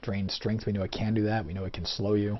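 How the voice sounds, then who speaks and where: A man speaks in a somewhat breathy, fairly low-pitched voice. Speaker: let's play gamer. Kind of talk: gameplay commentary. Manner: fast; slurred speech.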